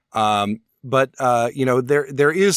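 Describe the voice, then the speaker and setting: Recorded very cleanly against a silent background, a man speaks in an ordinary speaking voice at a medium pitch, the sound dry and close with no echo. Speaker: opera talk radio host. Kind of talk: casual podcast discussion.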